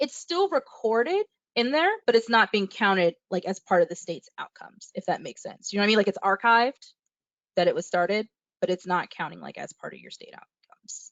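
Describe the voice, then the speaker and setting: A woman talks at a fairly quick pace with big swings in loudness. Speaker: webinar presenter. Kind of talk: tutorial. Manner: fast; trails off at sentence ends.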